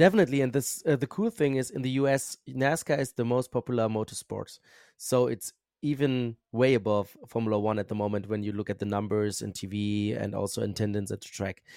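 A dark, mellow voice with a German accent moves at a fairly quick pace with ordinary pitch variation. The recording is very clean with a silent background and a dry, close sound with no echo. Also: man, medium pitch for a man. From Germany. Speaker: motorsport commentator and journalist. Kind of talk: casual interview.

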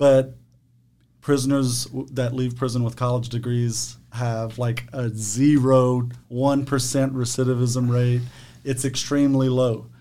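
In a room with audible echo, a man speaks at a fairly slow pace and medium pitch, his dark, mellow tone monotone and flat. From Louisiana, Cajun prairie (Eunice, St. Landry Parish). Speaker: formerly incarcerated nonprofit leader. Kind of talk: casual interview.

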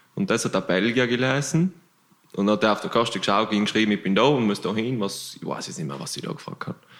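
A man's medium-pitched voice at a very fast pace with lively intonation. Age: 20s. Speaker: long-distance cyclist. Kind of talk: casual chat.

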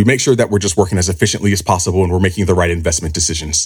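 This man has a very deep, low voice with an American accent. His delivery is somewhat breathy. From US, Southern California (Los Angeles). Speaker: finance executive. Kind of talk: interview. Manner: hesitant, many fillers.

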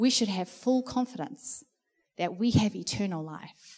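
A woman's dark, mellow, somewhat breathy voice at a fairly slow pace. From South Africa. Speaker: church leader. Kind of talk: sermon. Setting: church.

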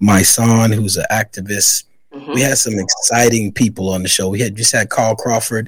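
The speaker has a normal speaking voice and an American accent and goes at a moderate pace. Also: man. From New York, the Bronx. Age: 40s. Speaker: author and podcaster. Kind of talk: interview.

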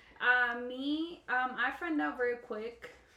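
A woman's high-pitched voice with ordinary pitch variation, set in audible room echo. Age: 20s. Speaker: mother. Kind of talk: casual chat.

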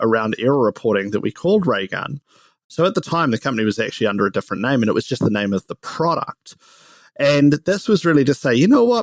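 A man speaks at a fairly quick pace with a New Zealand accent, medium pitch and lively intonation, in a dry, close sound with no echo on a very clean recording over a silent background. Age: 30s. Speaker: startup co-founder and CEO. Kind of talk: casual interview chat.

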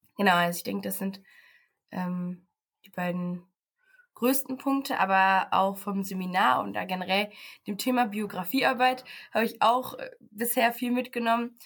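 A woman at medium pitch and a moderate pace, with long, frequent pauses, in a very clean recording with a silent background. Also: ordinary pitch variation. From Paderborn, Germany. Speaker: social work student. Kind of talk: casual interview.

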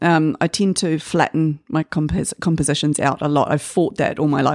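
Using a very deep, low voice with ordinary pitch variation, a woman with a New Zealand accent talks at a fairly quick pace. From New Zealand, Auckland (Waitakere). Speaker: artist. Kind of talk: interview. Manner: hesitant, with many fillers.

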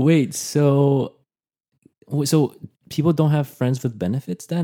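Medium-pitched male voice with a dark, mellow tone. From Brazil. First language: Portuguese. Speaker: podcast co-host. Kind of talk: casual chat.

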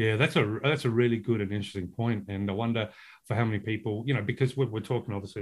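With an Australian accent, a man with a fairly low pitch speaks at a very fast pace and with fairly even intonation, in a very clean recording with a silent background. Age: 40s. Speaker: podcast host and author. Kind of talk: casual chat.

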